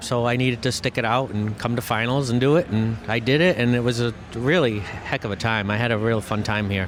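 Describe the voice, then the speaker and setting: A man talks at a medium pitch while noticeable background noise runs behind him. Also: ordinary pitch variation, fairly quick pace. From Massachusetts. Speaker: electrician and car audio competitor. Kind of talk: interview.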